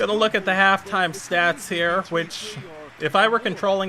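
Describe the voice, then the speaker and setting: Moderately paced speech from a man with an American accent, over noticeable background noise. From US West Coast. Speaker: gaming streamer. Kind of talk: live gameplay commentary. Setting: live stream. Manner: casual, conversational.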